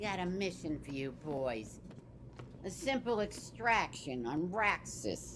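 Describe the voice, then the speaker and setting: A female-sounding cartoonish character voice moves at a fairly slow pace, with clear background noise behind it. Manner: blunt, sardonic.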